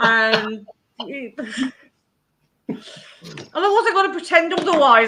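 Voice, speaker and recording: Raising and projecting her voice, a woman speaks at a high pitch in a bright, sharp tone, with very wide pitch swings. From Oldham, northern England. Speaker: youtuber guest. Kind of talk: casual chat. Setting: live stream.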